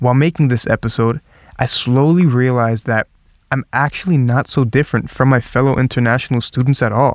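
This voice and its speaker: A man of medium pitch with a Northern US accent talks at a fairly quick pace and very even loudness, recorded dry and close with no echo. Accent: American, sounds northern US like New York. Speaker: podcast host, international student. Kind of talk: scripted narration.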